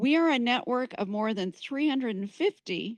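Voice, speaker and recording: A woman at a moderate pace with lively intonation, in a dry, close sound with no echo and a quiet background. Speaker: community organization leader. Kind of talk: event welcome speech. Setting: community gathering with live audience. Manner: loud. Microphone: too quiet at first, then adjusted.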